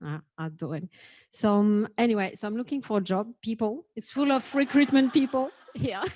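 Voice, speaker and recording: In a very clean recording with a silent background, a woman with a French accent speaks at a moderate pace, her voice fairly high, somewhat breathy and lively in intonation. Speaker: data and analytics executive. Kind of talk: panel introduction. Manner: halting.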